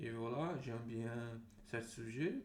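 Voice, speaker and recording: With a Portuguese accent, the speaker goes at a very slow pace amid audible room echo. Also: man. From Brazil. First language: Portuguese (speaking French). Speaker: language learner vlogger. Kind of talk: casual monologue vlog. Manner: halting, many fillers and repetitions.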